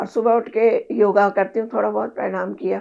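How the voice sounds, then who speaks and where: This is a woman's voice. She speaks with vocal fry. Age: 70s. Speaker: patient sharing health experience. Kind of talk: interview. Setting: at her home.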